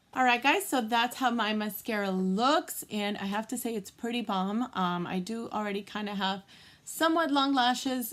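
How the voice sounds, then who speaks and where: Pitch variation stays ordinary. The voice comes with an American accent. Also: woman. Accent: Boston accent, occasional. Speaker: beauty vlogger. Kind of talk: tutorial. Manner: casual, many fillers.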